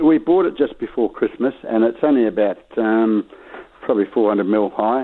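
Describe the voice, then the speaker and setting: In an Australian accent, a man talks at a moderate pace and medium pitch, with ordinary pitch variation and very even loudness. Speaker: caller. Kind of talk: call-in question. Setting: phone call.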